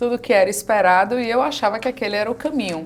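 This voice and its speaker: This is a woman speaking. She has a Bahian accent. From Bahia, Brazil. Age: 40s. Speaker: women's mentor. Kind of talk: interview.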